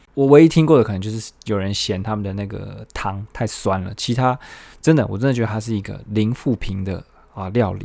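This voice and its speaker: Speaking at a fairly quick pace, a man with a fairly low pitch has a dark, mellow tone and ordinary pitch variation. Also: big swings in loudness. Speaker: solo podcast host. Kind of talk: casual solo monologue. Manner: many filler sounds, hesitant.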